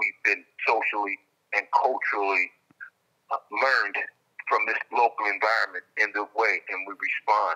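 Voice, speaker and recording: Moderate pace from a man, quiet background. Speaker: caller. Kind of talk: interview answer. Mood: calm reflective. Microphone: phone line.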